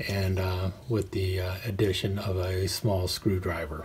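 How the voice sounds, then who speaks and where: A man's very deep, low voice, fairly slow and monotone with flat intonation, over light background noise. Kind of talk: tutorial. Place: home room. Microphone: phone near.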